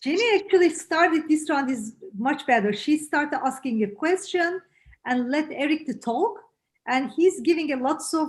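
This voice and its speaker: A woman with a strong non-native accent speaks at a moderate pace, her pitch swinging very widely. The background is quiet. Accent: heavy foreign. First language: not English. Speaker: real estate agent. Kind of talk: role-play feedback in online session. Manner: halting.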